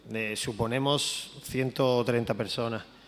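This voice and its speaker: A man at medium pitch. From Andalusia, Spain. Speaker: photojournalist. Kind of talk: talk presenting a photo to an audience.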